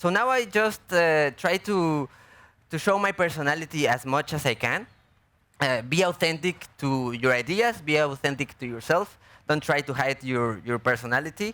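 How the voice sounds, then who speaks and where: Lively in intonation and bright and sharp in tone, a man with a Mexican accent speaks at a moderate pace and a fairly high pitch, in a very clean recording with a silent background. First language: Spanish. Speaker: artist and filmmaker. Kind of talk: panel Q&A. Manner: halting.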